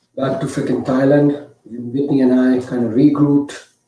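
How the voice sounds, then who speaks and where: There is audible room echo around this speaker. He is a man with an Indian accent and a fairly high pitch. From India (Mumbai). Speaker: storyteller. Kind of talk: storytelling performance.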